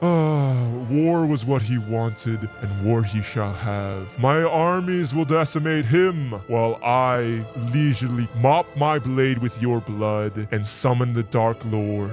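With clear music in the background, a man speaks at a medium pitch and a fairly slow pace. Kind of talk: villain monologue. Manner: menacing, grandiose.

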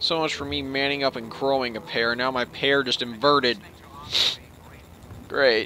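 In a squeaky, put-on character voice at a medium pitch, a man talks at a moderate pace with long, frequent pauses over light background noise.

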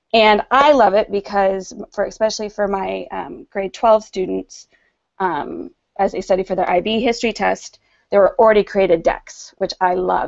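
A woman with an American accent at a moderate pace, over a quiet background. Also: big swings in loudness. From United States. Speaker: middle school teacher. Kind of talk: educational presentation. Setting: video call. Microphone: video call.

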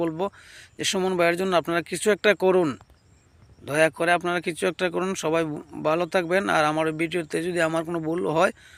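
A man with a high pitch speaks in a monotone with flat intonation, and the sound is dry and close with no echo on a very clean recording with a silent background. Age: 30s. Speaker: YouTube commentator. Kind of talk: vlog commentary.

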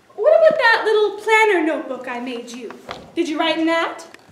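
Putting on a character voice, a woman speaks at a fairly quick pace with extremely high pitch, big pitch swings and a fairly bright tone, all in strong room echo.

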